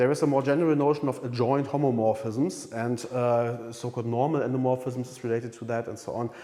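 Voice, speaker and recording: A man's medium-pitched voice, very fast and nearly pauseless, monotone and flat, with big swings in loudness and audible room echo. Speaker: university math lecturer. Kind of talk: lecture. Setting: lecture room recording. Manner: louder than usual at times; halting, many fillers.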